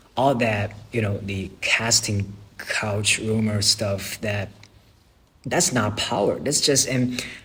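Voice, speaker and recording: The speaker has a non-native accent. The delivery is very slow. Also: man. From China. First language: not English. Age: young. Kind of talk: casual talk to camera.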